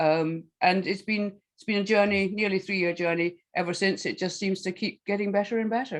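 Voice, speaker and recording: A woman with a Scottish accent, medium pitch, fairly even intonation, big swings in loudness and hardly any pauses. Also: fairly quick pace. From Scotland. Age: 70s. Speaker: health coach and author. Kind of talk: casual chat. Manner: halting.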